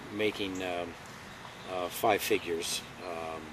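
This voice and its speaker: A man speaks in a very deep, low pitch with monotone, flat intonation. Noticeable background noise runs underneath. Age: 60s. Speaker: retired FBI agent. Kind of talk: interview. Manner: halting, many fillers.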